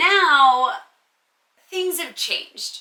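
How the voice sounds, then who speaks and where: A woman speaks in a raised, projected voice with an animated tone. Her high pitch moves in very wide swings. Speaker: content creator, lookalike. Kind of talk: Q&A monologue to camera. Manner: casual, animated.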